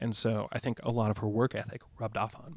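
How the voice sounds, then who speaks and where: A somewhat breathy male voice with an American accent and fairly even intonation. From US Midwest, Rockford, Illinois. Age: 30s. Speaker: singer-songwriter. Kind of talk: casual chat.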